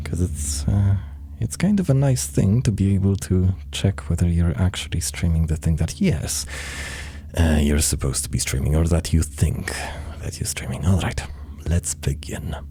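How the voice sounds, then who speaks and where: The voice is quiet and the pace moderate. There is noticeable background noise. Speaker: gaming streamer. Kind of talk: live gameplay stream commentary. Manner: quiet, muttering; hesitant, many fillers.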